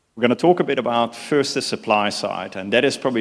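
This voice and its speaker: A man with a Dutch accent speaks at a very fast pace. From Netherlands. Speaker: mining consultancy CEO. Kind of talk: conference keynote. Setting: conference stage with live translators.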